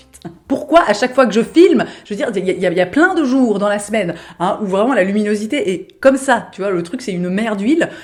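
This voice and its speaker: This woman talks very fast in a fairly high voice with lively intonation. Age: 30s. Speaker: lifestyle vlogger. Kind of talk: casual vlog monologue. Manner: hesitant, many fillers.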